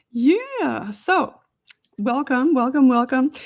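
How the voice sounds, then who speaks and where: A woman talks at a very slow pace in a high voice. She has an American accent. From Newfoundland, Canada (Mount Pearl, St. John's). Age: old. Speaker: nurse and paranormal podcaster. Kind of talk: interview. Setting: live stream.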